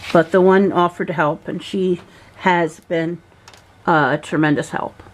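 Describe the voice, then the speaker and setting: A woman with an American accent speaks at a moderate pace. Her voice sits fairly low, with fairly even intonation. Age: 60s. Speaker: vlogger. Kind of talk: personal video diary. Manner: emotional.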